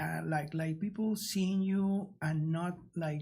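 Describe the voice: The speaker has a strong non-native accent. The pace is very slow. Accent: strong foreign accent in English.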